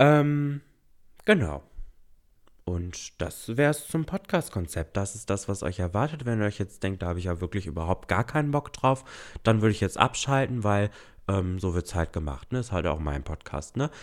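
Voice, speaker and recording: On a very clean recording with a silent background, a man with a fairly low pitch speaks at a moderate pace, his pitch swinging very widely. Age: 20s. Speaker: podcast host. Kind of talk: solo casual chat. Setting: home recording. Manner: hesitant fillers.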